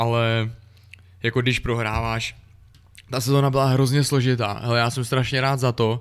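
Here a man talks at a medium pitch in a monotone, flat delivery. The recording is very clean, with a silent background. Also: moderate pace. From Czech Republic, Sokolov. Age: 30s. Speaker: ice hockey player. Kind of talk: podcast interview.

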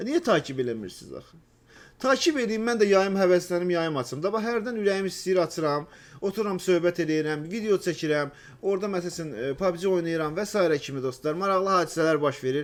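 The intonation is lively, and the loudness swings a lot. The pace is moderate. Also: man, high pitch for a man. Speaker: gaming YouTuber. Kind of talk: casual chat. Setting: voice chat.

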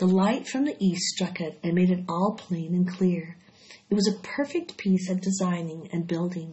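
The delivery is plain reading aloud, its intonation fairly even throughout.

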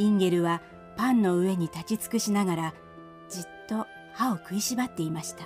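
Music plays in the background as a woman talks at a moderate pace and a medium pitch. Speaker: narrator. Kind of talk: fairy tale audio drama narration.

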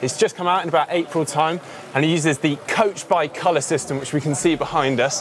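Music plays in the background as a man talks. His delivery is at a moderate pace, and the sound is dry with no echo. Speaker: presenter. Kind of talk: product walkthrough commentary. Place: tent. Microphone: lapel.

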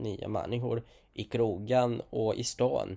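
A man with a non-native accent speaks at a very slow pace. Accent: non-native Swedish. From outside Sweden. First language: not Swedish (speaking Swedish). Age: 20s. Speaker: vlogger. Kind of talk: casual monologue.

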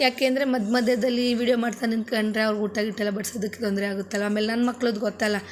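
Noticeable background noise accompanies a woman's voice. Her pitch is fairly high and her intonation fairly even. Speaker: vlogger. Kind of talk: vlog voice-over narration.

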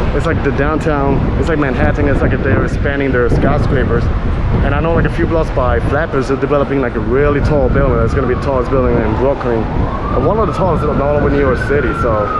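Through loud background noise, a man speaks at a very fast pace. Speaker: walking tour vlogger. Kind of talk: casual vlog chat. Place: street. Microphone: phone near.

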